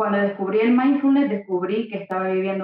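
Medium-pitched woman's voice with ordinary pitch variation. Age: 30s. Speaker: author and stop-smoking coach. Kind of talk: interview. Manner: hesitant, many fillers.

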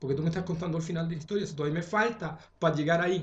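Pitched high, a man talks with fairly even intonation. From Chile. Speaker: astrologer. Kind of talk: casual chat.

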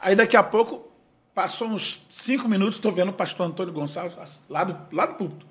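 Lively intonation marks this man's high voice as he talks at a fairly quick pace. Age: 50s. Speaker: gospel singer. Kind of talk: casual chat.

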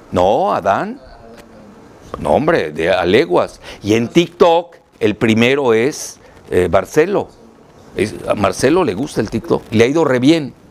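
A man talks at a very slow pace, leaving long, frequent pauses. His pitch is medium, with very wide swings, over noticeable background noise. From Mexico, Yucatán. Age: 70s. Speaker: political analyst and author. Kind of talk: interview. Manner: halting, repeats words.

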